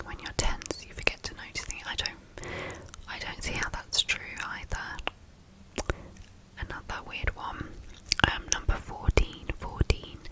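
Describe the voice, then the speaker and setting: Whispering at a fairly slow pace, a woman speaks. Noticeable background noise runs underneath. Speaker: ASMR creator. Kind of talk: ASMR reading of facts. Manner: whispered, soft-spoken, slow.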